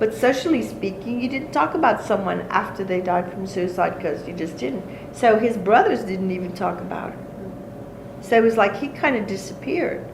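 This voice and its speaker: A woman with a Cajun accent, medium pitch and lively intonation, at a moderate pace, with audible room echo and noticeable background noise. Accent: Cajun Louisiana English. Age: 60s. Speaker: folk healer. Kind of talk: interview.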